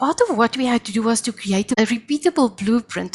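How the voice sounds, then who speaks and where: The voice is somewhat breathy, with lively intonation at a moderate pace. The sound is dry and close with no echo, over a quiet background. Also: woman. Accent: South African. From South Africa. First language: Afrikaans. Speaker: professor. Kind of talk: interview.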